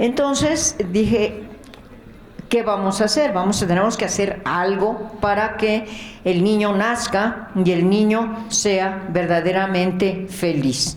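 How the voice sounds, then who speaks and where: A woman of medium pitch speaks at a very slow pace with ordinary pitch variation and very even loudness, amid audible room echo and noticeable background noise. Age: 70s. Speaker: charity founder, nurse. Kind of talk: testimony.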